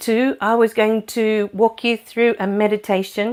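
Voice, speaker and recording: With an Australian accent, the speaker talks at a fairly slow pace. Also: woman. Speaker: spiritual medium and livestream host. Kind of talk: casual livestream chat. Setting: live video stream. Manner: loud; very soft during meditation. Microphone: new clip-on mic on her top.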